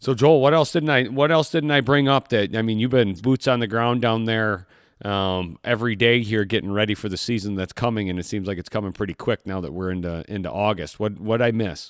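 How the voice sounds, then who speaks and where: In an American accent, a man with a plain, everyday voice talks at a fairly quick pace with hardly any pauses, his fairly low pitch showing ordinary pitch variation. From Michigan. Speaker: podcast host, hunting trip booking. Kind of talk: casual interview chat. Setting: remote call.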